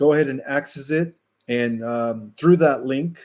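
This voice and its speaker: A man at a medium pitch in a very clean recording with a silent background. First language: Spanish. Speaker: spiritual channel host. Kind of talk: live stream Q&A with chat. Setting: live stream. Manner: casual, hesitant with fillers.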